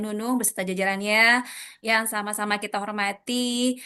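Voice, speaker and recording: A woman with a fairly high voice keeps her intonation fairly even despite noticeable background noise. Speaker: event moderator. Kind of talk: formal event opening speech. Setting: video call. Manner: formal.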